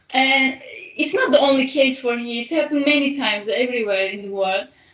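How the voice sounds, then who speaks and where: Over noticeable background noise, a woman with a high pitch talks at a fairly quick pace, her pitch varying in an ordinary way. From Turkey. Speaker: artist. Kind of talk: interview. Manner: halting.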